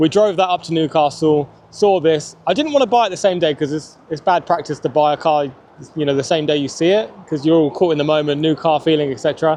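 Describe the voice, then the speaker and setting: Speaking very fast with an English accent, a man uses a fairly high pitch and a dark, mellow tone. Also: ordinary pitch variation. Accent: English regional accent, noticeable. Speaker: car YouTuber. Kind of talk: casual vlog review. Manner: casual, conversational.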